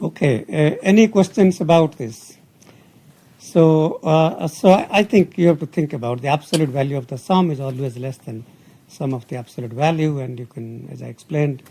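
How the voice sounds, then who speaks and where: A man with a dark, mellow, somewhat breathy tone speaks at a moderate pace, using lively intonation and big swings in loudness. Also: fairly high pitch for a man. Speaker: university professor. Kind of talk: lecture. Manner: hesitant, many fillers.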